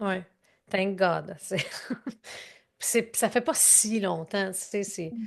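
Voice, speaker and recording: At a very slow pace with long, frequent pauses, a woman speaks in a medium-pitched voice. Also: ordinary pitch variation. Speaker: growth strategy consultant and speaker. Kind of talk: interview answer. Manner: emotional, conversational.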